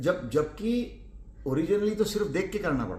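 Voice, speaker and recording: A man talks at a moderate pace with a high pitch and a dark, mellow tone. His pitch swings very widely, and there is audible room echo. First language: Marathi (speaking Hindi). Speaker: cricket radio commentator. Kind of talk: interview.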